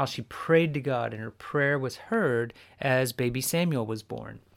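With an American accent, a man with an unremarkable speaking voice talks at a moderate pace and medium pitch, using ordinary pitch variation. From US Southwest. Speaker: podcast host, Bible teacher. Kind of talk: devotional teaching podcast.

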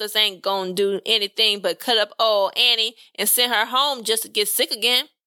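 What we hear is someone plainly reading a text aloud.

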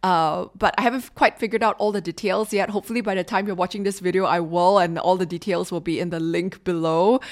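With a Singaporean accent, a woman speaks at a very fast pace and a medium pitch, with fairly even intonation and hardly any pauses, in a very clean recording with a silent background. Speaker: podcast host and leadership consultant. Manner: informal, frank, conversational.

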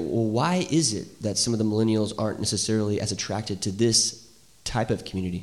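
Audible room echo surrounds a man talking at a fairly quick pace with fairly low pitch and ordinary pitch variation. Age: 30s. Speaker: church podcast host. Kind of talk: casual interview. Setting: church with small live audience.

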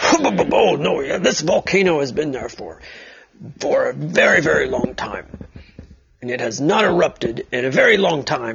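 A raspy put-on character voice with long, frequent pauses. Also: man, fairly high pitch for a man, moderate pace. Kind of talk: bedtime story. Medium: read story. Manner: enthusiastic, confident, slightly pompous.

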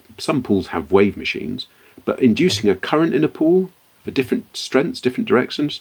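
A man speaking in a British accent. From born in Liberia, West Africa; considers himself British. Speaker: entrepreneur, company founder. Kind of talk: interview.

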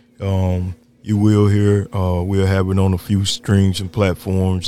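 Music plays in the background as a man with a very deep, low pitch speaks at a moderate pace in a monotone, flat intonation. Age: old. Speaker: podcast host and sports coach. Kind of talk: casual chat.

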